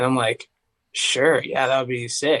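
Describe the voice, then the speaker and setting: Speaking at a moderate pace with an East Tennessee accent, a man keeps his medium pitch in a monotone, flat intonation. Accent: East Tennessee Southern. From US South, Tennessee (Knoxville area). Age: 20s. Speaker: singer. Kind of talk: casual chat. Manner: casual, filler-heavy.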